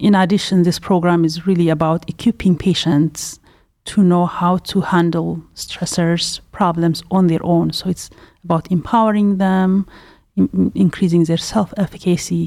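A woman with a dark, mellow tone and fairly low pitch talks at a moderate pace with fairly even intonation. Her loudness is very even, and the recording is very clean with a silent background. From Ethiopia. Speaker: clinical psychologist. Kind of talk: medical podcast interview.

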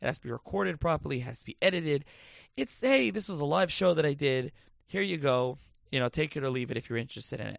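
A man talks at a very fast pace with an American accent. His pitch is fairly high. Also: lively intonation. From New Jersey, Lakewood. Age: 20s. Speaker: podcast host. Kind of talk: solo monologue, casual. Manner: halting, many fillers.

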